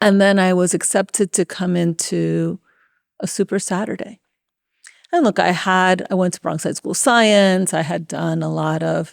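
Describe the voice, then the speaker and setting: Recorded very cleanly over a silent background, a woman with a Spanish accent speaks at a moderate pace in a dry, close sound with no echo. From New York City, Washington Heights (Dominican family). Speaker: tech executive. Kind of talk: interview. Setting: conference venue.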